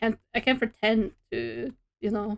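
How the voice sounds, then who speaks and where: A woman with a strong Norwegian accent, a fairly high pitch and a fairly slow pace. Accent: strong Norwegian regional dialect. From Norway. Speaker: streamer and artist. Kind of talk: casual chat.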